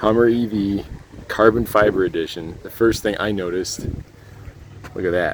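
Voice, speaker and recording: Over noticeable background noise, a man speaks at a fairly low pitch and moderate pace with fairly even intonation and long, frequent pauses. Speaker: YouTube car reviewer. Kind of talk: vlog narration. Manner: quiet, hushed.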